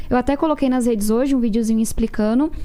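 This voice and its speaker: In a plain, everyday voice, a woman speaks at a fairly high pitch with fairly even intonation. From São Paulo outskirts, Brazil. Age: 20s. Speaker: politician. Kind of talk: political debate.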